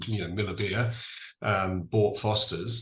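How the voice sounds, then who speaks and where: A man speaks with a fairly low pitch and an English accent. His tone is bright and sharp, and his intonation stays fairly even. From England. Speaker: distillery founder. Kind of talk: podcast interview.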